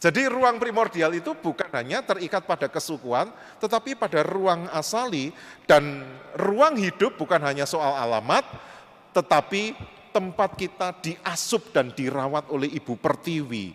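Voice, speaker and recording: A man's high voice with very wide pitch swings at a moderate pace, over noticeable background noise. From Indonesia, Java (Kediri area, East Java). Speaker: panel speaker at interfaith forum. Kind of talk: presentation with slides. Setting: church hall forum with audience.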